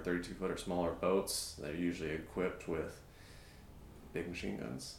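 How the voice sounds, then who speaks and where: Audible room echo surrounds a man's very deep, low voice. His intonation stays fairly even. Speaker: navy veteran and strength coach. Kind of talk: casual interview chat. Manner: quiet, measured.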